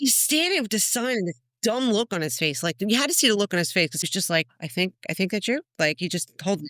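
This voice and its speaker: Animated in tone, a woman talks at a fairly quick pace with a strong New Jersey accent and very wide pitch swings at a medium pitch. The sound is dry and close, with no echo. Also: hardly any pauses. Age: old. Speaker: podcast guest, adoptee meeting biological brother. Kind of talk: casual chat, personal story.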